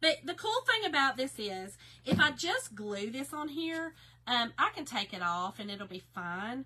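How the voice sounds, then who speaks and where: A woman with a Southern US accent, bright and sharp in tone, with lively intonation. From Kentucky. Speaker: craft live-stream host. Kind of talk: live stream craft tutorial. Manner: casual, chatty.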